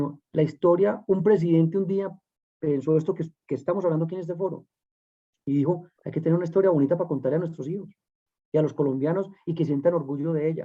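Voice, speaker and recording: A man at a very fast pace, with long, frequent pauses and ordinary pitch variation. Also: fairly high pitch for a man. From Colombia, Medellín. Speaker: political candidate. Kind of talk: panel discussion.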